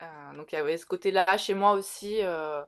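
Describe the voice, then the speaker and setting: A woman at medium pitch, very slow pace, against a quiet background. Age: 40s. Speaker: tattoo artist and tarot reader. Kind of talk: interview. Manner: halting, many fillers.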